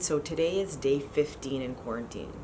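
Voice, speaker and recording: A quiet woman's voice, very deep and low in pitch, with ordinary pitch variation and a moderate pace, plus noticeable background noise and audible room echo. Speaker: vlogger. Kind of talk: casual vlog. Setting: at home.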